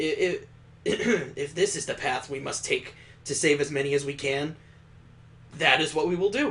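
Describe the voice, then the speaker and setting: A man's raspy, put-on character voice, fairly high in pitch with ordinary variation, at a moderate pace over light background noise. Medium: solo performance. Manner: earnest, concerned.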